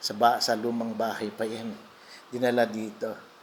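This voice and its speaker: There's noticeable noise in the background. Over it, a man talks with a mid-range pitch. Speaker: vlogger and restaurant singer. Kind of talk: casual vlog walkthrough. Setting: restaurant. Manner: halting, many fillers.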